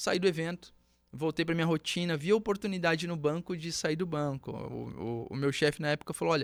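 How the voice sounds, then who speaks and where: Over a silent background in a very clean recording, a man talks at a fairly quick pace with fairly high pitch and ordinary pitch variation. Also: dry, close sound with no echo. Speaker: entrepreneur, former bank tech worker. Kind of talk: podcast interview, personal story. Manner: animated storytelling.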